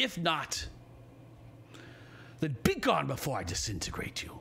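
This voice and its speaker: A man performs a put-on character voice at a moderate pace. Clear background noise and a rumbling sound fill the recording. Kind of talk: game master voicing a villain. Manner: temperamental, menacing.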